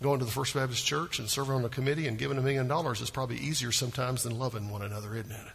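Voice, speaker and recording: A man with an American accent talks at a very fast pace in a medium pitch, his intonation fairly even. Room echo is audible, and there is noticeable background noise. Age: 50s. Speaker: pastor. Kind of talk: sermon.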